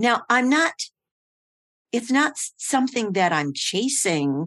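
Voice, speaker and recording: Very wide pitch swings come at a very slow pace. The background is quiet, and the sound is dry and close with no echo. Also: woman. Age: 80s. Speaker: transformational coach and mentor. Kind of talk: interview, reflective conversation. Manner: halting, reflective.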